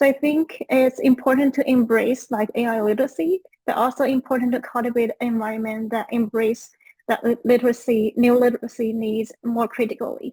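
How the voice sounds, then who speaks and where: With a Chinese accent, a woman speaks at a high pitch and a fairly quick pace with fairly even intonation, in a dry, close sound with no echo. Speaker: education researcher. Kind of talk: panel discussion.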